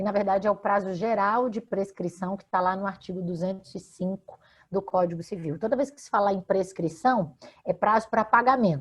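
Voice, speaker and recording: A woman's medium-pitched, somewhat breathy voice at a moderate pace, with ordinary pitch variation and big swings in loudness. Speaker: law professor, radio guest. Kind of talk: interview answer explaining consumer law.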